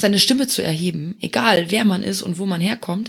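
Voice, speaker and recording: A woman's medium-pitched, somewhat breathy voice moves at a moderate pace, its pitch varying in an ordinary way. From Luxembourg. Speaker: community manager. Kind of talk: casual chat.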